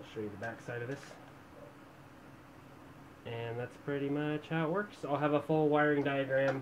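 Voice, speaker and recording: Light background noise runs under speech delivered at a moderate pace. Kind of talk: casual tutorial demo. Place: home room.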